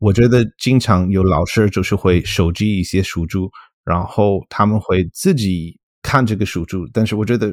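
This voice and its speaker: Recorded very cleanly against a silent background, a man with an English accent speaks at a moderate pace and a fairly low pitch. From US, Colorado. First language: English (speaking Chinese). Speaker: linguistics professor. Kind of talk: casual interview. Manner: halting, many fillers.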